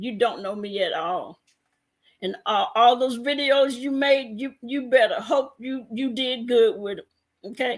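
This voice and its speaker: A woman with a high pitch speaks in an animated tone with lively intonation. Her pace is fairly slow, and her loudness swings widely. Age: 60s. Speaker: live streamer. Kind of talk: heated rant.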